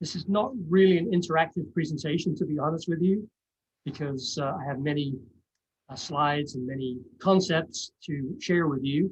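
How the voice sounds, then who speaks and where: A man with a somewhat breathy, fairly high voice talks at a moderate pace with ordinary pitch variation. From England, East End of London. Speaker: college English professor. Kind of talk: presentation. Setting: video call.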